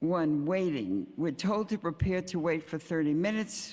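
This woman has a very deep, low pitch. She speaks at a fairly slow pace. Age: 80s+. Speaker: senior citizen testifying at hearing. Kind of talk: public testimony. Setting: city council hearing with microphone.

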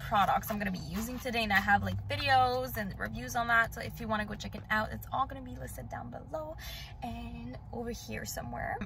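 A woman is speaking with faint music in the background. The sound is dry, with no echo. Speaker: beauty vlogger. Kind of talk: makeup tutorial chat. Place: car. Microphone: phone near.

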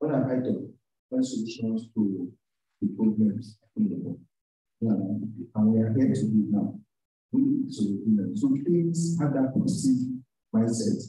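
With a Nigerian accent, a man at medium pitch speaks at a fairly slow pace with lively intonation, long, frequent pauses, a somewhat breathy, dark, mellow tone and audible room echo. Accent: Nigerian (Yoruba) English. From Nigeria (Yoruba). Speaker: university lecturer, programme coordinator; university lecturer. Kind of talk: lecture. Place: classroom.

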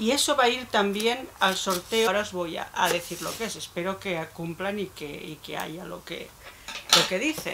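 Over light background noise, a woman speaks at a fairly slow pace with lively intonation. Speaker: beauty YouTuber. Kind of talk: unboxing vlog. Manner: halting. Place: home room. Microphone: phone near.

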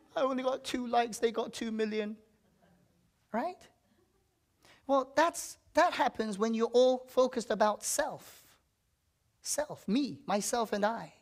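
Against a quiet background, a woman with a high voice talks at a fairly slow pace, using ordinary pitch variation and long, frequent pauses. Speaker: pastor. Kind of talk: sermon. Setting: church. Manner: emphatic call-and-response preaching, asking for amens; fervent, repetitive declarations in short punchy phrases. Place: church.

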